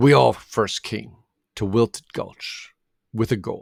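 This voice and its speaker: A man puts on a character voice, pitched in the medium range and delivered at a fairly slow pace. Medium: read story.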